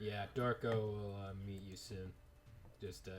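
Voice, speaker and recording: Using a put-on character voice, a man speaks at a fairly slow pace with a fairly low pitch and monotone, flat intonation over clear background noise. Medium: actual play. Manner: hesitant, casual.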